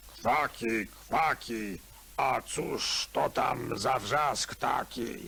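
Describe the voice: In a put-on character voice, a man speaks very slowly, sounding raspy and gruff.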